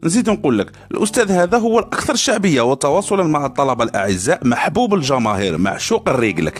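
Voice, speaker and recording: A man's fairly high voice with very wide pitch swings, at a moderate pace with hardly any pauses, over music in the background. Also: very even loudness. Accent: Algerian. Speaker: university student podcaster. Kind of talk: satirical podcast monologue. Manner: casual, humorous.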